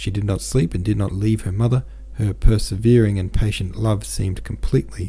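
Someone reads a passage aloud, sounding natural.

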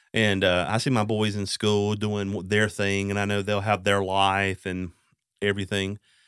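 A man with a Southern US accent, fairly low-pitched and monotone, at a moderate pace on a very clean recording with a silent background. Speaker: podcast host. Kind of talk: casual interview. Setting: studio.

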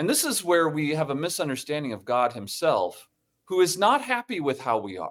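On a very clean recording with a silent background, a man speaks at a moderate pace with a fairly high pitch, very wide pitch swings and vocal fry. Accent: American. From US Midwest, Toledo, Ohio. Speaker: theology professor and worldview director. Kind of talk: interview.

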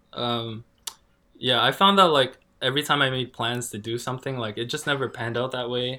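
A man's normal speaking voice at medium pitch, fairly quick, with ordinary pitch variation. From Canada. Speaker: tattoo artist. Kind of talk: casual chat. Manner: casual, relaxed.

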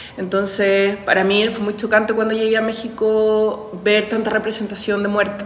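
A woman's fairly high, monotone voice at a moderate pace with hardly any pauses, with audible room echo and noticeable background noise. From Chile, Santiago. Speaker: university professor. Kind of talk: interview testimony.

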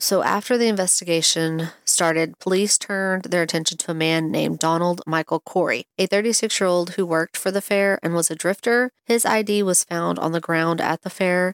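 Fairly even intonation at a fairly quick pace, with very even loudness, hardly any pauses and a dry, close sound with no echo. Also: woman, fairly low pitch for a woman. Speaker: true crime podcast host. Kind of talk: true-crime narration, read from researched notes. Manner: measured, serious, sympathetic storytelling; casual, chatty in housekeeping intro.

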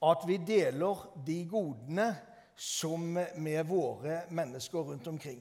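The man's voice is high-pitched with ordinary pitch variation. He speaks at a very slow pace. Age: 60s. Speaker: preacher. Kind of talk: sermon. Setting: church.

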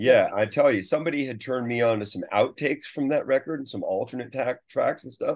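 With an American accent, a man talks at a very fast pace with hardly any pauses and big swings in loudness, against a quiet background. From US West Coast, San Francisco Bay Area. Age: old. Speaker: guitarist. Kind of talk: interview.

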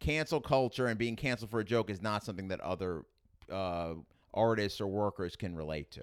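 A fairly quick delivery with ordinary pitch variation on a very clean recording with a silent background. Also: man. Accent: strong New York. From Queens, New York City. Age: 30s. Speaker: stand-up comedian. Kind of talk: casual interview chat. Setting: studio.

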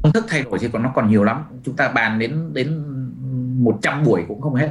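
Somewhat breathy, with ordinary pitch variation. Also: man. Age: 50s. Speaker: business coach and author. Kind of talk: webinar talk. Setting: webinar video call.

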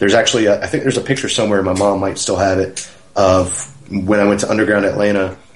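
The speech is very fast and delivered in a flat monotone. There is noticeable background noise and audible room echo. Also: man, fairly low pitch for a man. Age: 30s. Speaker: professional wrestler. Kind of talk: casual interview.

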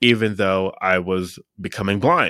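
With an American accent and a bright, sharp tone, a man speaks fairly slowly on a very clean, dry and close recording with no echo over a silent background. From Pennsylvania, US. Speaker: mindset coach. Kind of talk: interview.

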